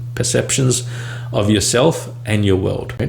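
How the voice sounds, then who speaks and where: A man talks at a fairly slow pace in a monotone, flat intonation. The recording has audible room echo and noticeable background noise. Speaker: speech coach for people who stutter. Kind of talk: casual talking-head vlog. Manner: halting, with fillers and repetitions.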